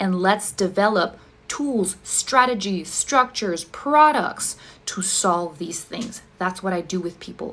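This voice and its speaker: Fairly slow, medium-pitched female speech with ordinary pitch variation. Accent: non-native. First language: not English. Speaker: ADHD coach. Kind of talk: direct-to-camera explanation video.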